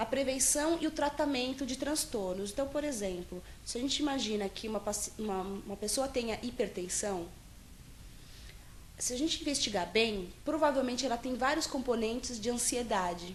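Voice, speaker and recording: A woman speaks at a moderate pace with a high pitch and lively intonation. Audible room echo surrounds her voice. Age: 20s. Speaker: psychologist. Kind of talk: interview. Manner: halting, many fillers and restarts.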